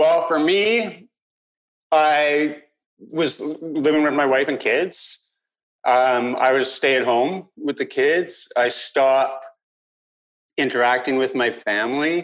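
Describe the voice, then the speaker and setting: A man with a Canadian accent, fairly high-pitched, at a very slow pace with long, frequent pauses, ordinary pitch variation and very even loudness. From Vancouver Island, Canada. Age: 50s. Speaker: peer supporter with lived mental illness. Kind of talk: interview.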